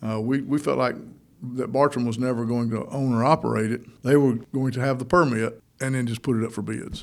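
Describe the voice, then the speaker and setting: Fairly quick, fairly even delivery from a man with a Georgia accent at a medium pitch. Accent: US Southern (Georgia). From Northeast Georgia (Toccoa). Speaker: mayor. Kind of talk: radio interview. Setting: studio.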